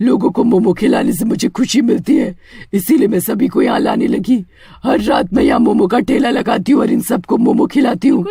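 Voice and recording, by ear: The speech comes at a moderate pace. It is done in a cartoonish character voice. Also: man, extremely high pitch for a man.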